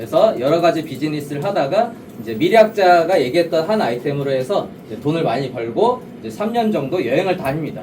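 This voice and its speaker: A man talks at a very fast pace, his pitch swinging very widely. Noticeable noise is heard behind him. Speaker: network marketing presenter. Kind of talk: business opportunity presentation. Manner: rhetorical questions to audience; hesitant fillers.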